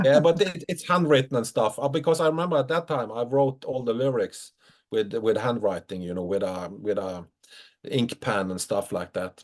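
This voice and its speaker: A man with a Norwegian accent at a medium pitch, very wide pitch swings and a moderate pace. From Norway. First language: Norwegian dialect. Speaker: metal musician. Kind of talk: interview. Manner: halting.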